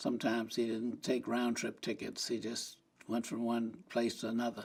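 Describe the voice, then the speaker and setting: A man speaks at medium pitch and a moderate pace, with an American accent. The recording is very clean, with a silent background. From US South, Tampa, Florida. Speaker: civil rights activist. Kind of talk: interview. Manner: halting.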